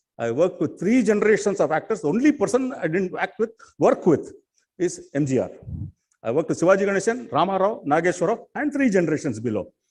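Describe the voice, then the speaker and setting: A high-pitched man talks very fast, his pitch swinging very widely. Long pauses come often. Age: 60s. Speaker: film production fixer. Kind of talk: conference speech.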